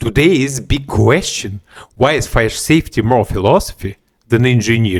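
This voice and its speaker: Somewhat breathy male voice with lively intonation and a moderate pace. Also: medium pitch for a man, very even loudness. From Latvia. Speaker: fire safety engineer and podcast host. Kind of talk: solo podcast monologue.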